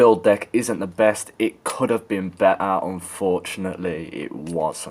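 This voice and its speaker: A man with a British accent speaks at a fairly slow pace in a very deep, low pitch. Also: ordinary pitch variation. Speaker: vape reviewer. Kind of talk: product review. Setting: outdoors. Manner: casual.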